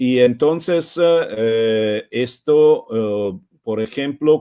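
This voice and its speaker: With an Italian accent, a man talks very slowly at a medium pitch, his pitch varying in an ordinary way. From Italy. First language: Italian (speaking Spanish). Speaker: software foundation co-founder, speaker. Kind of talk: webinar presentation. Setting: live online webinar. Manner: halting, many hesitations.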